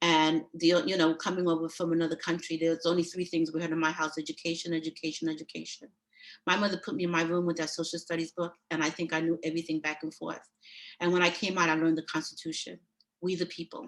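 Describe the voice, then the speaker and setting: Speaking in a New York accent, a woman goes at a very fast pace. Her voice is fairly low in pitch, with monotone, flat intonation. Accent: New York (Brooklyn) English. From New York City (Brooklyn), born in Panama. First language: Spanish. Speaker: judicial candidate. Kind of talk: candidate speech at a meeting.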